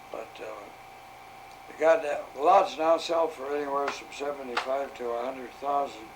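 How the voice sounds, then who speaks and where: A man with an American accent speaks at a moderate pace in a fairly high pitch, with fairly even intonation and big swings in loudness. Noticeable background noise and audible room echo fill the recording. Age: 90s. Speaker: retired arcade game operator. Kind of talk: casual interview.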